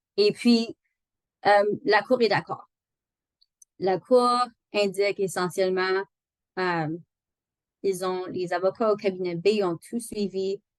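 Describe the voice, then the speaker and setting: A woman's medium-pitched voice, very slow with long, frequent pauses and fairly even intonation, in a dry, close sound with no echo. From Northern Ontario. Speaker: employment lawyer. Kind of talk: online training lecture. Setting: video call. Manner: halting, many fillers.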